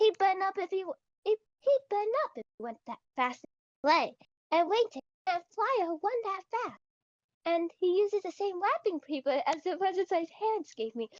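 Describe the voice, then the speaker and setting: A woman squeaks out a put-on character voice at an extremely high pitch. Her pitch swings very widely at a moderate pace. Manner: exaggerated, playful.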